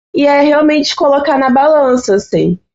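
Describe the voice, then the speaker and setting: This voice, in a Rio de Janeiro accent, moves at a fairly slow pace. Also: woman. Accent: Rio de Janeiro (carioca) Brazilian Portuguese. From Brazil, Baixada Fluminense (Rio de Janeiro). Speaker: invited psychology expert. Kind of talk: podcast conversation.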